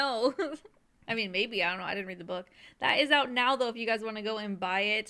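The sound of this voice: Reading done in an unforced reading voice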